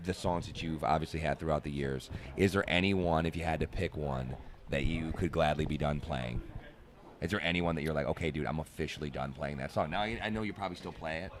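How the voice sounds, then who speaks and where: With vocal fry and a very deep, low pitch, a man talks at a fairly quick pace. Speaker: radio host. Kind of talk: backstage interview. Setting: backstage at a festival.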